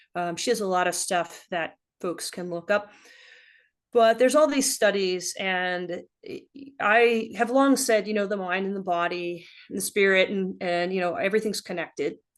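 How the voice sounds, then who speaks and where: Her pace is moderate and her pitch medium. This woman has a plain, everyday voice. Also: ordinary pitch variation. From US South. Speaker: ultrarunner and health practitioner. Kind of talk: casual chat.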